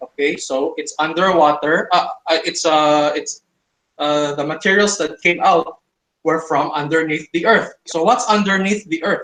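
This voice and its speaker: With a bright, sharp tone, a man speaks at a fairly slow pace in a high pitch with ordinary pitch variation. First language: not English. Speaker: creationist debater. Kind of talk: online debate. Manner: halting, many fillers.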